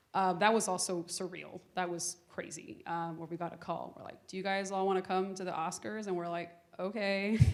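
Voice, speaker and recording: Her loudness swings widely as a woman of medium pitch talks at a moderate pace with hardly any pauses. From Miami, Florida (Little Havana), Cuban-American family. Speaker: activist and keynote speaker. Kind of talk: audience Q&A conversation. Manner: animated, casual, many fillers.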